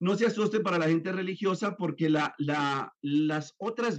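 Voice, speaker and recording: A man speaks with lively intonation. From Colombia, then raised in the US. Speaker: neuroscience therapist and author. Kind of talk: interview. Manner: hesitant with fillers and repetitions.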